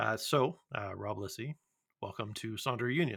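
Here a man talks with a Midwestern accent. His tone is bright and sharp, and his pitch is medium. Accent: General American (Midwest). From US Midwest. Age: middle-aged. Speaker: podcast host. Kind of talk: casual chat. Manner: halting, many fillers.

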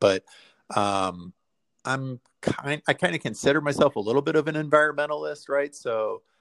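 Over a very clean, silent background, a man talks in a plain, everyday voice at a moderate pace. His intonation is lively, and the sound is dry and close with no echo. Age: 40s. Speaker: high school teacher. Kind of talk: interview conversation.

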